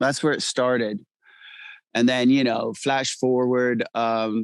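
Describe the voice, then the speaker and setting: A man of medium pitch with an American accent and monotone, flat intonation, in a dry, close sound with no echo. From Sweden, schooled in England, long in US. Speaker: actor. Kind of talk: interview. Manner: halting, many fillers.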